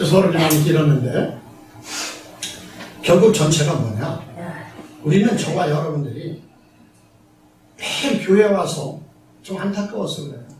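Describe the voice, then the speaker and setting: Moderate-paced speech under noticeable background noise. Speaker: pastor. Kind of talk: sermon. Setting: church.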